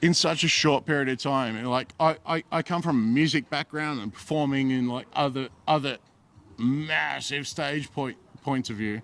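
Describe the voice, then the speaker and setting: A plain, everyday voice belongs to this man, pitched fairly high. He moves at a moderate pace with fairly even intonation. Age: 40s. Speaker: comedian. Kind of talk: casual chat. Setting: bar at comedy event.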